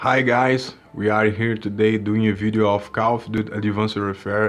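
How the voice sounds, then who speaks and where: A man with a Portuguese accent speaks in a monotone, with flat intonation. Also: fairly low pitch for a man, moderate pace. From Brazil. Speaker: gaming YouTuber; gamer reporting a problem. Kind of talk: tutorial. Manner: halting, with repeated words. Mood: frustrated complaint. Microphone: phone near.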